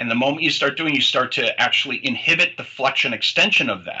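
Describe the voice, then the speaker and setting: Noticeable background noise accompanies a man who talks very rapidly. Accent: American. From US Midwest, Detroit. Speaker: chiropractor. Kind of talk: interview.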